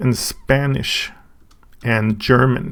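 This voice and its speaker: In a Swedish accent, a man speaks at medium pitch with ordinary pitch variation. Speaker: YouTuber reviewing a book. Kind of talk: casual unboxing and review. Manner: halting, with many fillers and restarts.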